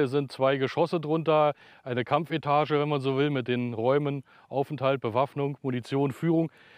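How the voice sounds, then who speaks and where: A man with fairly even intonation, dry sound with no echo, and a quiet background. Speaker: bunker guide or expert. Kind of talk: interview answer. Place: open country. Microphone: lapel.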